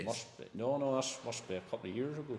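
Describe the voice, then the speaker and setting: A man with a Northern Irish accent talks at a fairly quick pace in a medium pitch. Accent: Northern Irish, rural. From Northern Ireland. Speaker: part-time farmer. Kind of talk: podcast interview answer. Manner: casual, sweary.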